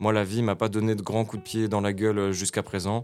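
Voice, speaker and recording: With music in the background, a man speaks at a moderate pace in a fairly low pitch. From France, Nancy (Lorraine). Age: 20s. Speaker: rapper and battle improviser. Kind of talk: casual interview chat.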